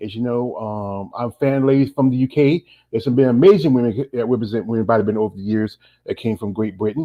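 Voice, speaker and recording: Talking at a very fast pace, a man with an American accent uses a medium pitch. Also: ordinary pitch variation. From North Carolina. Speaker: interviewer. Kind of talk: interview. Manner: a little fast.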